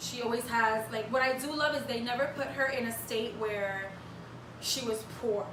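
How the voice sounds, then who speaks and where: Speaking at a moderate pace, a woman with a fairly high pitch has an animated tone. The clip carries audible room echo and noticeable background noise. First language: Spanish. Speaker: podcast co-host and aspiring actress. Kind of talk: casual chat.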